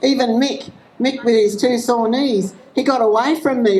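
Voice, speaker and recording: Speech in an Australian accent with noticeable background noise. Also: woman. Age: 60s. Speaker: rally speaker. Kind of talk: public speech at a rally. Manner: halting.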